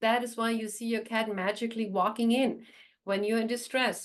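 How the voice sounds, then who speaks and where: Her fairly high-pitched voice moves at a fairly quick pace as this woman talks. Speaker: animal communicator. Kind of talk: channeling session to online audience. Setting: online group call. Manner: fast; animated.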